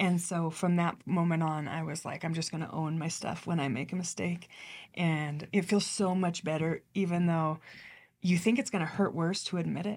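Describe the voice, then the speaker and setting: In an ordinary speaking voice, a woman talks at a moderate pace with fairly even intonation and a fairly low pitch, recorded very cleanly against a silent background. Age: 40s. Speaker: leadership podcast host. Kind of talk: interview.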